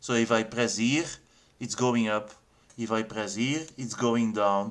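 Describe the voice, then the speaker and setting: Using fairly even intonation, a man with a non-native accent talks at a fairly slow pace. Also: medium pitch for a man. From Belgium. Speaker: game developer. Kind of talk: tutorial. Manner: halting, many fillers and repeats.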